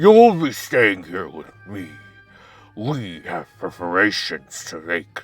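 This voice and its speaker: Over faint background music, a man growls in a put-on character voice. His intonation is lively. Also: fairly low pitch for a man, fairly slow pace. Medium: game stream. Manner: formal, clipped, commanding.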